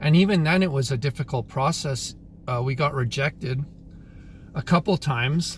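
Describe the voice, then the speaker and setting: Somewhat breathy, a man with a Canadian accent speaks at a moderate pace in a medium pitch with ordinary pitch variation. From Canada. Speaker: YouTuber, commentator. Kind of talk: casual monologue, opinion vlog. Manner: casual, filler-heavy.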